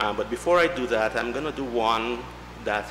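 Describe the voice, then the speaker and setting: A man with ordinary pitch variation speaks at a moderate pace, noticeable background noise behind him. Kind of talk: eulogy tribute reading. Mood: somber, heartfelt. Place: church. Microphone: podium.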